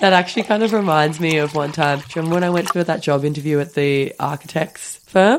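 Amid noticeable background noise, a woman with a very deep, low voice and an Australian accent talks at a very fast pace with hardly any pauses and ordinary pitch variation. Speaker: podcast co-host. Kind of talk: casual chat.

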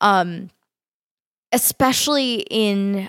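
An ordinary speaking voice from a woman with an American accent, medium in pitch, with ordinary pitch variation. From Texas, Fort Worth. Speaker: medical student and cancer researcher. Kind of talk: casual interview.

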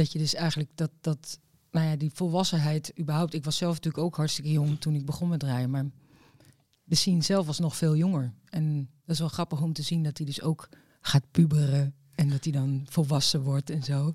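A woman's very deep, low voice, somewhat breathy with a dark, mellow tone and monotone, flat intonation at a moderate pace, in a very clean recording with a silent background and dry, close sound with no echo. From Netherlands, Overijssel and Amsterdam. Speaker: DJ. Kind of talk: casual chat. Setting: villa at park edge.

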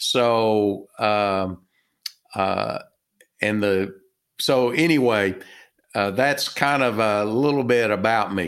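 A man with a Texas accent at a very slow pace. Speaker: author and business consultant. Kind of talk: casual interview chat. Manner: halting, filler words.

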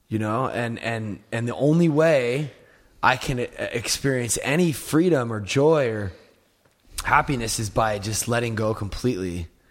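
Speaking at a fairly slow pace, a man with a medium-pitched voice keeps an animated tone. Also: ordinary pitch variation. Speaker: podcast host. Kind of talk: casual chat. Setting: studio. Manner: loud.

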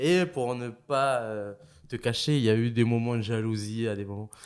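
Over a silent background in a very clean recording, a man talks at a moderate pace with medium pitch and ordinary pitch variation. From New Caledonia. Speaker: parkour athlete and comedian. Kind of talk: casual chat. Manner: animated.

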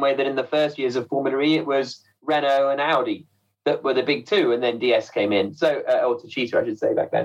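A man with an English Midlands accent speaks at medium pitch and moderate pace, with ordinary pitch variation. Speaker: motorsport commentator. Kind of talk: casual chat.

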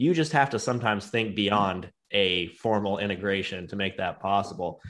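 In a very clean recording with a silent background, a man with an unremarkable speaking voice and fairly low pitch speaks at a moderate pace. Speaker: podcast host, software company team member. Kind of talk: casual chat.

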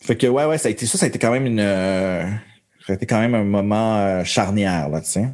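The speech moves at a moderate pace in a Quebec accent. The background is quiet. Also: man, fairly low pitch for a man, ordinary pitch variation. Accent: Québécois French. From Quebec, Montreal area. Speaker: lighting designer. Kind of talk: research interview.

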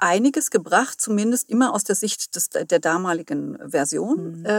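Fairly slow and medium in pitch, a woman's voice makes very wide pitch swings in a dry, close sound with no echo. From Hesse, near Friedberg. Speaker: spiritual medium. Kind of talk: interview.

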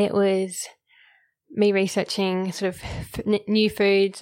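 In an Australian accent, a woman speaks at a fairly slow pace, her medium-pitched voice monotone and flat. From Queensland, Australia. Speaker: medical doctor. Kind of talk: interview conversation.

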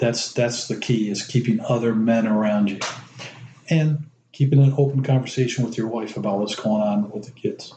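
Speaking with a Midwestern American accent, a man at a medium pitch holds a moderate pace and fairly even intonation in a dark, mellow tone. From Cleveland, Ohio. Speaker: father and former youth sports coach. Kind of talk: casual interview.

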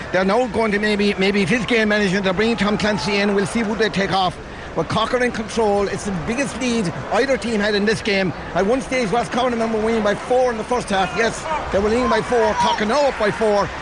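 A man talks at a very fast pace in a high voice with an animated tone. His loudness stays very even, and background noise is noticeable. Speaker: radio sports commentator. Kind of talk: live GAA match commentary with a co-commentator, highlights package. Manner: fast, animated and excitable, rising to a pitch at scores and the tense finale; rapid play-by-play, naming players and describing each kick as it happens.

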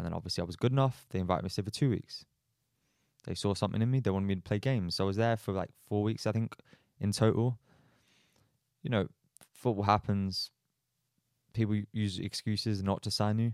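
In a dry, close sound with no echo, a man with an English accent and a fairly low pitch talks at a very fast pace, with fairly even intonation and long, frequent pauses. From Australia. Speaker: footballer. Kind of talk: casual interview chat.

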